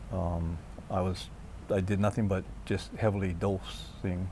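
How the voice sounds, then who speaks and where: With a very deep, low pitch and a dark, mellow tone, a man speaks fairly slowly, somewhat breathy, with fairly even intonation. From Hawaii. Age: 60s. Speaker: cancer patient, guest. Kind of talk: personal testimony.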